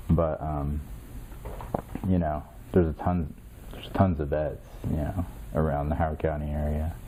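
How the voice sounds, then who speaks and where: A man with a Midwestern American accent speaks at a moderate pace in a very deep, low voice, his intonation monotone and flat, with long, frequent pauses. Audible room echo and noticeable background noise fill the recording. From Indiana, US Midwest. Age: 30s. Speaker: military veteran. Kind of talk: interview. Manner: halting, many fillers.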